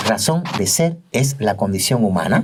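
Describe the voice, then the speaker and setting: The man has an unremarkable speaking voice at a medium pitch. His intonation is lively. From Cuba. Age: 50s. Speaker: doctor and teacher. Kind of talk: interview testimony.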